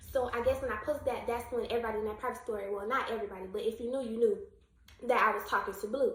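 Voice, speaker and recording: A woman talks with lively intonation. Audible room echo surrounds her voice. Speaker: YouTube storyteller. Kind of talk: storytime vlog. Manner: stuttering.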